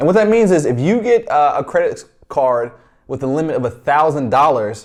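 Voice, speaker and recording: His pitch swings very widely. This man's voice sits fairly high. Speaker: personal finance youtuber. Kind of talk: tutorial. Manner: fast, stumbling; casual.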